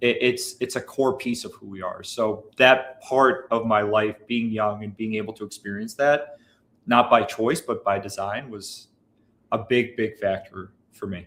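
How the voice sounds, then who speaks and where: Animated in tone, a man at medium pitch talks fairly slowly with ordinary pitch variation and big swings in loudness, on a very clean recording with a silent background. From US Midwest, Chicago area. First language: Bulgarian. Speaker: business owner. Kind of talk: livestream interview conversation. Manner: animated, with frequent repetitions.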